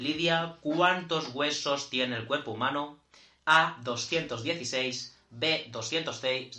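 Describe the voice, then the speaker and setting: A man talks very slowly in a fairly high pitch with ordinary variation. His tone is bright and sharp. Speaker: podcast co-host. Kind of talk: casual chat.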